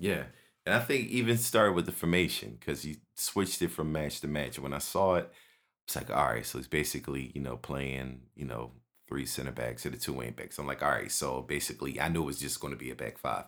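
In a Philadelphia accent, a man with a very deep, low voice and vocal fry talks at a fairly quick pace with lively intonation, captured on a very clean recording with a silent background. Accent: Philadelphia American English. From North Philadelphia, US. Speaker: music producer and football fan. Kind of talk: casual chat.

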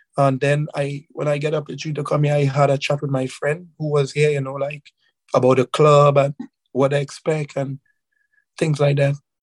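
A man talks in a monotone, flat intonation at a fairly high pitch, somewhat breathy, with a dry, close sound and no echo. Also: moderate pace. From Trinidad and Tobago, Carenage. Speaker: professional footballer. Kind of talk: interview. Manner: halting, many fillers.

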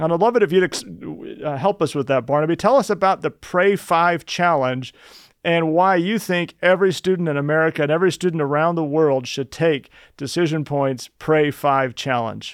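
An unremarkable speaking voice, ordinary in its pitch variation, goes at a moderate pace with little heard behind it. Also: man, fairly high pitch for a man. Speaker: podcast host and ministry president. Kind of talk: podcast interview.

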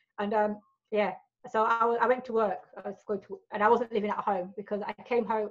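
A woman talks at a very fast pace. She has a British accent. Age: 40s. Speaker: adult film performer. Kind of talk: casual interview chat.

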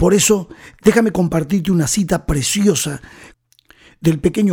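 High pitch from a male speaker, dark and mellow in tone. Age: 60s. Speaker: pastor. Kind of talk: sermon. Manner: animated.

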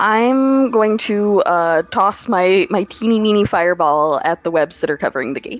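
Lively in intonation, a woman talks with hardly any pauses in an unremarkable speaking voice. The sound is dry and close, with no echo. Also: medium pitch for a woman, moderate pace. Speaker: tabletop game magazine writer. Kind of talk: actual play game session. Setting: video call.

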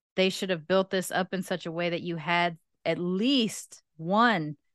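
A woman with an American accent speaks at a fairly slow pace and fairly low pitch, with fairly even intonation. The sound is dry and close, with no echo, over a quiet background. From California. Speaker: podcast host and comic shop co-owner. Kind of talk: casual chat.

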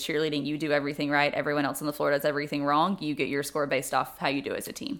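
With a Tennessee accent, a woman talks at a very fast pace in a very deep, low pitch and monotone, flat intonation, on a very clean recording with a silent background. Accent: Southern US (Tennessee). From US South, Memphis, Tennessee. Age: 30s. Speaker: former college cheerleading coach. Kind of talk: interview.

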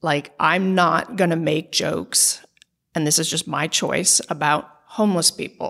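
Her tone is bright and sharp, with vocal fry and a fairly low pitch for a woman. She speaks at a fairly slow pace with ordinary pitch variation. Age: 40s. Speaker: lawyer and stand-up comedian. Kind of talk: interview conversation.

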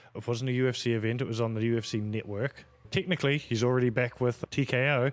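Talking very fast, a man keeps his medium pitch on fairly even intonation. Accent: Australian. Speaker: podcast co-host. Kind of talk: casual chat.

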